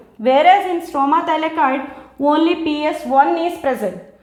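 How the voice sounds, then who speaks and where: With an Indian accent, a woman speaks at a high pitch with ordinary pitch variation, and room echo is audible. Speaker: biology teacher. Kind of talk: lecture.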